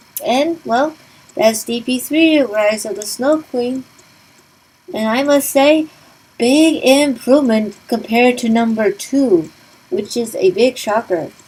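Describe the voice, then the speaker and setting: Over noticeable background noise, a woman with a high pitch talks very slowly, her intonation lively. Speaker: gaming let's play commentator. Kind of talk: game walkthrough commentary and review. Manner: casual, conversational.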